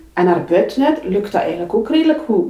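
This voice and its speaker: The pitch swings very widely throughout. There is noticeable background noise. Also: woman. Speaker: public transport manager. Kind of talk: interview. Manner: halting.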